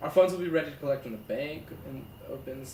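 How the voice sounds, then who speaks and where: A man talks at a moderate pace. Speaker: gaming YouTuber. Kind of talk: casual let's-play commentary, reading game text aloud.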